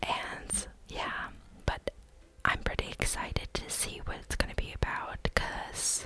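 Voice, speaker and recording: Noticeable background noise accompanies a very slow whisper. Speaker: ASMR content creator. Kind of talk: ASMR gaming whispered rambling; casual talk to camera. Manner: whispered, rambling.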